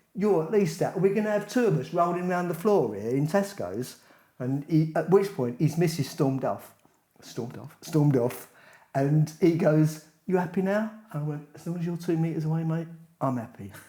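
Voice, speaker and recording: In an English accent, the speaker uses a dark, mellow tone and lively intonation at a moderate pace. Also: man, fairly high pitch for a man. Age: 60s. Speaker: podcast co-host, retiree. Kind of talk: casual chat. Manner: animated.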